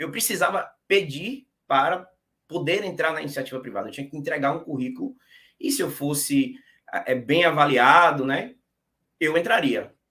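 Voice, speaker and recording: His bright, sharp tone sits at a fairly high pitch, with very wide pitch swings. The man keeps a moderate pace with long, frequent pauses. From Brazil, interior of Bahia. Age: 30s. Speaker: exam-passer interviewee, tax auditor. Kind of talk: casual interview. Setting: live stream.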